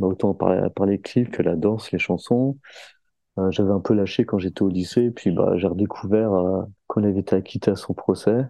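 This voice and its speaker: At a moderate pace, a man in an ordinary speaking voice talks at a fairly low pitch with very even loudness and fairly even intonation. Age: 30s. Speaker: skateboarder. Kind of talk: casual chat.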